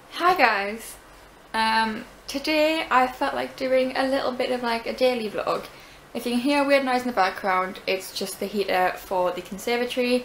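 Against light background noise, a woman with a high voice speaks at a moderate pace. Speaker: vlogger. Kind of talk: casual vlog chat. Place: home room. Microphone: phone near.

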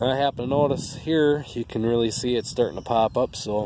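In a dry sound with no echo but with noticeable background noise, a man talks at a moderate pace with ordinary pitch variation. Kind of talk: casual vlog chat. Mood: relaxed, matter-of-fact. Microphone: phone near.

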